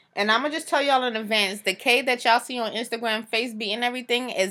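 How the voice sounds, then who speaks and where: A woman speaks loudly at a very fast pace, her high pitch carrying a bright, sharp tone. The recording is very clean, with a silent background. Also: hardly any pauses. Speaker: podcast co-host. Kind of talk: casual chat.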